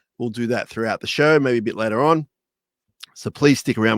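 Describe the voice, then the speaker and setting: Recorded very cleanly against a silent background, a man speaks very fast at a medium pitch with fairly even intonation and a dry, close sound with no echo. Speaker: podcast host. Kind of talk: casual chat. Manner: spaced-out words.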